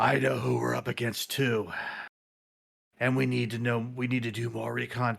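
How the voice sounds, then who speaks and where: Putting on a raspy character voice at medium pitch, a man talks with long, frequent pauses. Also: moderate pace. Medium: actual play. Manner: gruff, commanding.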